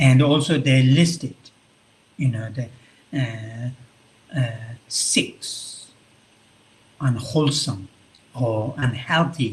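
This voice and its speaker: A somewhat breathy man's voice of medium pitch, very slow in pace, with ordinary pitch variation and long, frequent pauses. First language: Tibetan. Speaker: Buddhist monk and visiting professor. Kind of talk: lecture. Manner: halting, many fillers.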